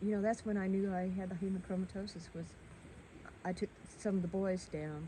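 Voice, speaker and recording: A woman speaks at a fairly quick pace in a fairly low pitch, her tone dark, mellow and somewhat breathy, with fairly even intonation. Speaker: local resident. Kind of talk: casual chat.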